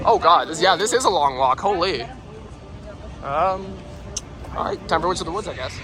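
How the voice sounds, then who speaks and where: Against noticeable background noise, a high-pitched man talks at a fairly quick pace with ordinary pitch variation and long, frequent pauses. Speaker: theme park vlogger. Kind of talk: casual vlog narration. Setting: outdoors at theme park. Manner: animated.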